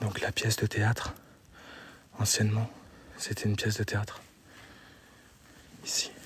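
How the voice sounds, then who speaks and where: Whispering, a man keeps his loudness very even. He goes at a moderate pace with long, frequent pauses. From France, Meurthe-et-Moselle (54). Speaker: urban explorer streamer. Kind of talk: live stream narration. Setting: abandoned building, exploring live. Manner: soft-spoken, speaking quietly.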